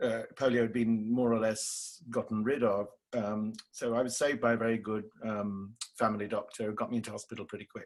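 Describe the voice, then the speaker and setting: With an English accent, a man talks fairly quickly at a medium pitch in a flat monotone against a quiet background. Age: 60s. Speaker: theatre director. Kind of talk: interview. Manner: halting.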